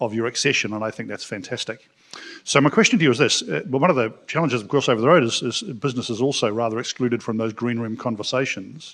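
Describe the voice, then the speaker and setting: A man talks at a very fast pace. His pitch is medium, with ordinary pitch variation. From New Zealand. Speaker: business community leader, audience questioner. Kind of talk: audience question at panel. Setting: conference room with audience, live stream.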